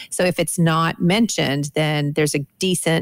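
A woman speaks with vocal fry at a very deep, low pitch and a fairly even intonation. The sound is dry and close, with no echo. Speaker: podcast co-host and Bible teacher. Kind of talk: casual discussion.

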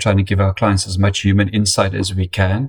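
Somewhat breathy, a man with an American accent speaks at a fairly low pitch. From South Africa. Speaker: marketing data executive. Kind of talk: interview. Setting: remote call. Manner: hesitant fillers.

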